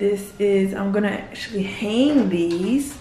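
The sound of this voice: A woman with a slightly mellow tone and medium pitch speaks at a slow pace amid audible room echo.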